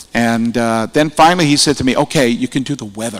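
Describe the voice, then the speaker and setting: Here a man with an unremarkable speaking voice and a medium pitch talks at a moderate pace, using ordinary pitch variation. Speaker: radio broadcaster, hall of fame inductee. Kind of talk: acceptance speech with anecdotes. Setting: award ceremony in an atrium with audience. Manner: conversational storytelling.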